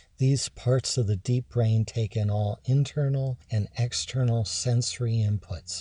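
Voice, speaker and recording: A man's medium-pitched voice with an American accent, dark and mellow in tone, somewhat breathy, with fairly even intonation, a fairly slow pace, hardly any pauses and a dry, close sound with no echo. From Maryland (Havre de Grace). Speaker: radio host and addiction doctor. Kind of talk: radio talk show monologue. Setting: radio studio.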